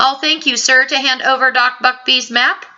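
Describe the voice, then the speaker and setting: A woman's put-on character voice, high in pitch, at a moderate pace with fairly even intonation and very even loudness. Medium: read story. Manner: formal, polite.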